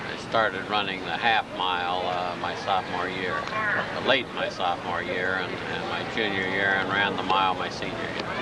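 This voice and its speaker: The speaker keeps a moderate pace with hardly any pauses and a monotone, flat intonation. Noticeable background noise and audible room echo fill the recording. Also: man, very deep, low pitch for a man. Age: 60s. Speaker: former college athlete. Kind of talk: interview. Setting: outdoors. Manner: halting.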